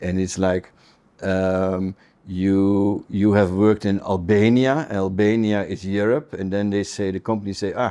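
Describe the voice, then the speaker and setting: Against a quiet background, a man with a Dutch accent speaks fairly slowly in a dark, mellow tone, his fairly low pitch held in fairly even intonation. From Netherlands. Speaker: business council manager. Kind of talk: interview. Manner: halting.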